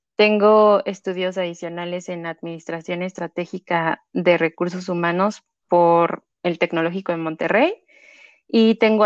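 A woman's fairly low, flat, monotone voice with a Mexico City accent, at a fairly slow pace, in a dry, close sound with no echo and a quiet background. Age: 30s. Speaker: psychologist working in human resources. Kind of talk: interview.

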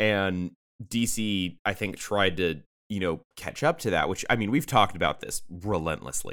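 A normal speaking voice comes with an American accent and lively intonation. The pace is moderate, and the recording is very clean with a silent background. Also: man, fairly low pitch for a man. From San Diego, California. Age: 20s. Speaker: podcast co-host. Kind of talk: casual chat.

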